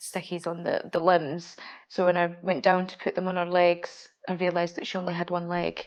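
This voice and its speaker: On a very clean recording with a silent background, a woman with a west Highland Scottish accent talks at a fairly quick pace in a fairly low pitch with monotone, flat intonation. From Scotland, Oban. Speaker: student ambulance technician. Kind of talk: documentary interview.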